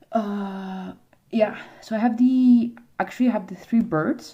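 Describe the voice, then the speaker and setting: Dark, mellow tone from a woman, somewhat breathy. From South America. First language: Spanish. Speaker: YouTuber showing collectibles. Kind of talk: casual livestream-style video chat. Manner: halting, many fillers.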